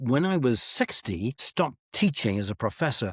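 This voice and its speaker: A man's voice with vocal fry and very wide pitch swings, dry and close with no echo, on a very clean recording with a silent background. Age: 70s. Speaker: author and retired professor. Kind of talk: interview.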